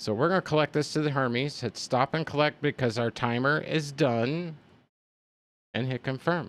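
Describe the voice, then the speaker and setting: Recorded very cleanly with a silent background and a dry, close sound without echo, a man talks at a moderate pace in a fairly high voice with ordinary pitch variation. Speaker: gaming streamer. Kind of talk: casual gameplay commentary. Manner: rambling conversational.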